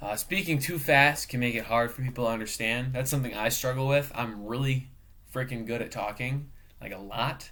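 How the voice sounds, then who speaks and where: A man talks at a fairly quick pace with a bright, sharp tone. His pitch is medium and his intonation fairly even. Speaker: student and professional cook. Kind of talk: class video presentation. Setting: webcam recording. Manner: casual, filler-heavy.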